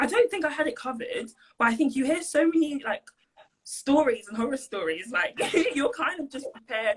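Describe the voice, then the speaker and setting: A woman with a London accent speaks at a fairly quick pace in a high pitch, her voice making very wide pitch swings. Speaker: university student. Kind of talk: casual interview. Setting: video call. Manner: hesitant, many fillers.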